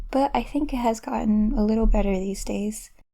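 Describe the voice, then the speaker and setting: A woman is speaking. Her tone is dark and mellow. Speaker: self-taught artist, art tutorial creator. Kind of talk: voiceover commentary over drawing process. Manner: pauses often.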